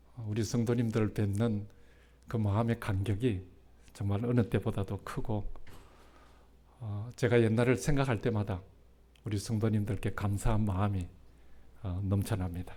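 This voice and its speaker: A man with a fairly low pitch and dark, mellow tone, somewhat breathy, fairly even in intonation, at a moderate pace with long, frequent pauses. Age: 60s. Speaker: retired pastor. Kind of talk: sermon. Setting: church. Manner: halting, many fillers.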